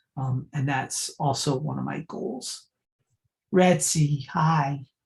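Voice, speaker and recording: This woman speaks at a very slow pace in a very deep, low pitch, with ordinary pitch variation. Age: 60s. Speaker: archivist and librarian. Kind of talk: talk with Q&A. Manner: casual, filler-heavy.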